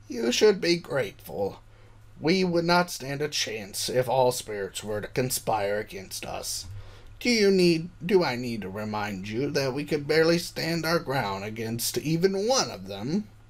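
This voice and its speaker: This is a man doing a put-on character voice. His pitch sits in the middle of the male range, and his pace is moderate. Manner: stern, scolding.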